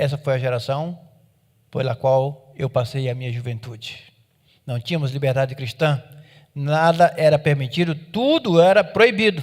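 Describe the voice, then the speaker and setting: A man speaks at a moderate pace with ordinary pitch variation. His voice is somewhat breathy and fairly high in pitch. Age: 60s. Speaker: pastor. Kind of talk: sermon.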